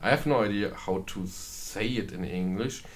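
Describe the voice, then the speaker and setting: Over audible room echo, a man with a German accent speaks fairly slowly at a fairly low pitch with ordinary pitch variation. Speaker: gaming video creator. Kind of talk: gameplay commentary. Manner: halting, many fillers.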